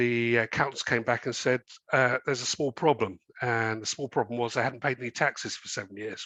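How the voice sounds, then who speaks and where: With an English accent, a man speaks at a moderate pace in a bright, sharp tone with fairly even intonation, the sound dry and close with no echo against a quiet background. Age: 60s. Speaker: company chairman. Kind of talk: interview. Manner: hesitant, many fillers.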